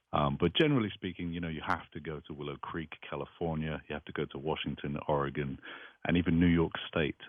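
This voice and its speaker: A man with an American accent talks at a fairly quick pace in a very deep, low pitch with monotone, flat intonation. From northwest England, Liverpool. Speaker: artist. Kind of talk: radio interview. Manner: hesitant, many fillers.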